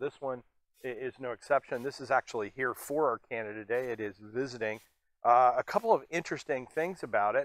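The sound is dry with no echo as a man speaks with ordinary pitch variation. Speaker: air museum executive and video host. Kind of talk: casual educational video presentation. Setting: on camera at an air museum. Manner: animated, jokey. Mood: jovial, relaxed. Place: hall.

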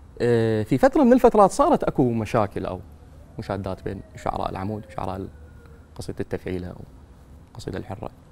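A man talks at a fairly quick pace with long, frequent pauses. His loudness swings widely over light background noise. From Iraq, Najaf; Iraq. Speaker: poet. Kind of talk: interview. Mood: calm, thoughtful. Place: studio. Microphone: lapel.

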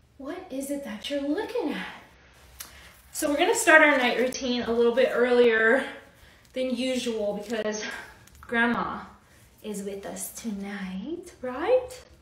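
A fairly slow delivery with big swings in loudness, in audible room echo. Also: woman, high pitch for a woman. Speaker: mother vlogger. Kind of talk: casual vlog chat. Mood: playful, teasing. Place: home room. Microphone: phone near.

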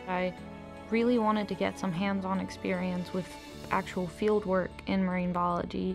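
Medium-pitched woman at a moderate pace with ordinary pitch variation, music in the background. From Venezuela; Caracas, Venezuela. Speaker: college student, marine biology intern. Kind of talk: interview answer.

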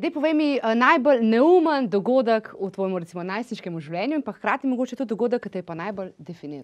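A woman's fairly high voice with very wide pitch swings and big swings in loudness, over a quiet background. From Slovenia. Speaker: talk show host. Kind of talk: interview. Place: studio.

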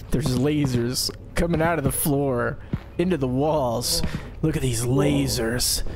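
A man's put-on character voice, medium in pitch, theatrical and playful, at a fairly slow pace against loud background noise. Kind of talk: mock documentary narration. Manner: theatrical, overdramatic, playful.

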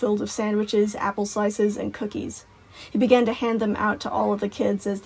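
The voice heard here is a natural reading voice.

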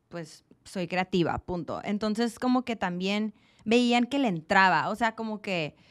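In a quiet background, a woman talks at a fairly slow pace with ordinary pitch variation. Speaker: guest. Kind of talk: interview answer. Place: studio. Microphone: studio mic.

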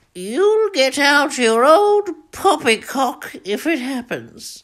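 In a put-on character voice, a woman talks at a very slow pace, her high pitch rising and falling in very wide swings. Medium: comedy sketch. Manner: fretful.

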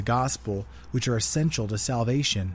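A somewhat breathy man at a moderate pace, with ordinary pitch variation. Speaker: podcast host reading a book. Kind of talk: audiobook reading. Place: garage.

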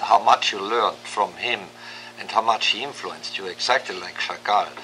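The speaker is a man. Noise in the background is noticeable. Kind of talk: interview reminiscence.

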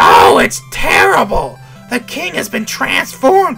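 Over faint music in the background, a man uses a put-on character voice at a fairly slow pace. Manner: distressed, theatrical.

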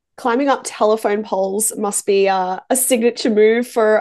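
In an Australian accent, a woman with a fairly high pitch talks at a moderate pace with fairly even intonation over a quiet background. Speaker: music interviewer. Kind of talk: interview. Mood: friendly, smiling. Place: home room. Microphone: video call.

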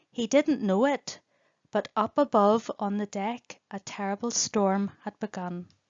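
A woman at medium pitch speaks at a fairly slow pace with ordinary pitch variation, the sound dry and close with no echo.

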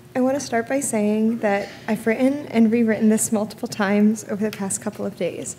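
A woman speaks with fairly even intonation over light background noise. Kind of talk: eulogy. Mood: grieving, tender. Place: church. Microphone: podium.

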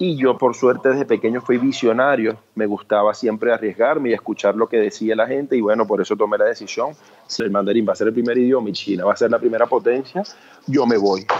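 A man talks at a very fast pace and medium pitch, with ordinary pitch variation and very even loudness. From Venezuela, Cumaná. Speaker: entrepreneur and speaker. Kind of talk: interview.

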